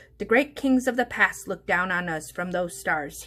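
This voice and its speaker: A woman puts on a character voice. Her pitch is medium and her pace moderate. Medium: read story.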